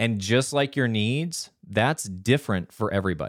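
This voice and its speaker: A man uses a normal speaking voice, moving at a moderate pace with ordinary pitch variation. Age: 40s. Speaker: podcast host on men's wellbeing. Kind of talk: solo monologue, self-help talk.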